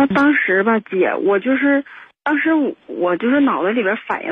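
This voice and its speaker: Her pitch rises and falls very widely. This woman keeps a moderate pace. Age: 20s. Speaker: caller. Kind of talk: phone-in confession. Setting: phone call. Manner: halting.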